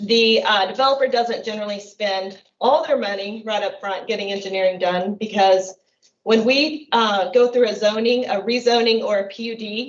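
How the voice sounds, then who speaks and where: Using an ordinary speaking voice, a woman speaks at a moderate pace with a fairly high pitch and fairly even intonation. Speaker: city planning staff presenting to council. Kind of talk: council meeting staff report.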